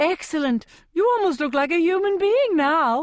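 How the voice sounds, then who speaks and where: A woman uses a put-on character voice, squeaky and at an extremely high pitch. Her pitch swings very widely at a moderate pace. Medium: read story. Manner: affected, gushing.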